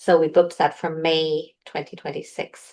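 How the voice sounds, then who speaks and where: Against a quiet background, a woman with an Irish accent speaks at a moderate pace. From Ireland. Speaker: intuitive healer. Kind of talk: casual chat.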